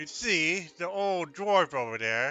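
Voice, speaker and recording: Doing a raspy, put-on character voice, a man speaks at a moderate pace with lively intonation while faint music plays in the background. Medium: actual play. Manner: speaks of himself in third person.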